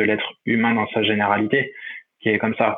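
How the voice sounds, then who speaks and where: The man's voice sits fairly low. His intonation is monotone and flat. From France, Saint-Étienne. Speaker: professional triathlete. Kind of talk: interview. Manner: halting, many fillers and repetitions.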